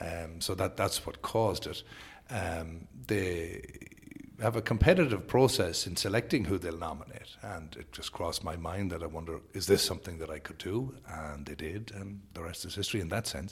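This voice moves at a moderate pace, somewhat breathy and with a Sligo Irish accent, its loudness swinging widely while its pitch varies in an ordinary way. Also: man, very deep, low pitch for a man. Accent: Irish (north-west, Sligo). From Ireland, Sligo. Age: 40s. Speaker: politician. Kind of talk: interview.

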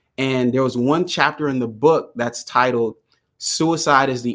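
An ordinary speaking voice with an American accent moves at a moderate pace and fairly even intonation. The recording is very clean, with a silent background. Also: man. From US, Jamaican American family. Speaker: mental health speaker and founder. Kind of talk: interview.

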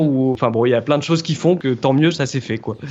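Noticeable background noise sits behind a man's voice. His pitch is fairly high, and his intonation is fairly even. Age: 30s. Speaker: apprentice boat preparer. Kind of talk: interview. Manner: hesitant, with fillers.

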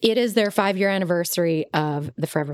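Over a very clean recording with a silent background, a woman uses a normal speaking voice with lively intonation. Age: 40s. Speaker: podcast co-host, small business owner. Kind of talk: casual chat.

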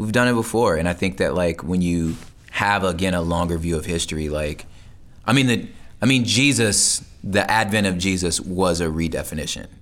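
In a room with audible echo, a man with a very deep, low pitch speaks at a moderate pace with ordinary pitch variation. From US West Coast, Los Angeles. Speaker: hip hop artist. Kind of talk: interview conversation.

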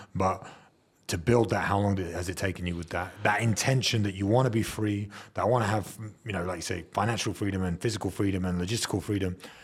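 On a very clean recording with a silent background, a man with a somewhat breathy, fairly low voice talks at a very fast pace with fairly even intonation. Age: 30s. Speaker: podcast host. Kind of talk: casual chat.

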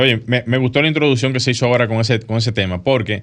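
With a bright, sharp tone, a man talks at a medium pitch. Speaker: architect and radio co-host. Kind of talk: casual radio talk show. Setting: radio studio.

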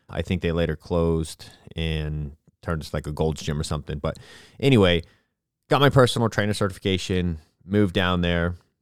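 A man with a very deep, low pitch and ordinary pitch variation, fairly quick in pace yet with long, frequent pauses, on a very clean recording with a silent background. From Florida. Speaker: podcast host, entrepreneur, jiu-jitsu instructor. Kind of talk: solo storytelling podcast. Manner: casual, filler-heavy.

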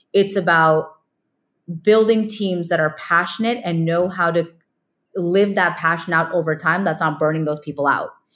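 Fairly even intonation runs through a normal speaking voice at a moderate pace. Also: woman, fairly low pitch for a woman. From California. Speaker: ed tech founder and former teacher. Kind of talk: interview.

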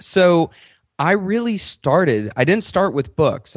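A man's pitch swings very widely in an animated tone. The sound is dry and close, with no echo. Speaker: author and book marketing expert. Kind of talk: interview.

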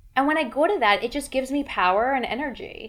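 With ordinary pitch variation and an unremarkable speaking voice, a woman talks at a moderate tempo on a very clean recording with a silent background. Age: 30s. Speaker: life and leadership coach. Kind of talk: casual interview.

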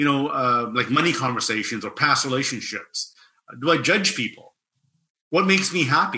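A bright, sharp tone comes from the man speaking. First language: non-English language. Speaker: personal development coach. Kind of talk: interview.

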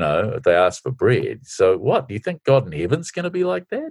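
The speaker has a New Zealand accent and keeps a moderate pace. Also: man. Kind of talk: interview. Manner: halting.

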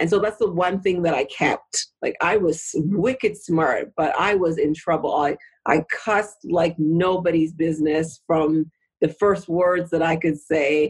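A woman speaks with a plain, everyday voice at a fairly low pitch. Her pace is fairly slow and her pitch varies in an ordinary way. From Canada. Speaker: author and former elected official. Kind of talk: interview.

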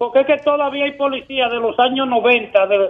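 The speaker's intonation stays fairly even at a moderate speed. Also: man. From Dominican Republic, San Cristóbal. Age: 50s. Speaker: caller. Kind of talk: phone-in comment. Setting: phone call. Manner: halting.

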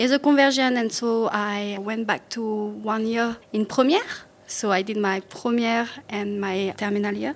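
Her pitch is fairly high and her intonation fairly even, with a French accent. The woman keeps a moderate pace. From France, Paris region (Yvelines). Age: 20s. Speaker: school activities coordinator and gymnastics coach. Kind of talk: interview.

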